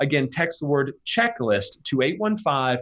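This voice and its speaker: His voice is fairly high, with a relaxed tone. His intonation is lively. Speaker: financial advisor. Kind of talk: radio interview, casual chat. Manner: conversational, relaxed.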